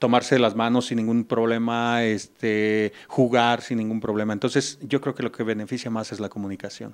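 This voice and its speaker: Over a quiet background, a man talks at a moderate pace in a monotone, flat intonation. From Mexico. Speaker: music teacher. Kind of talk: interview. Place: classroom. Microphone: handheld.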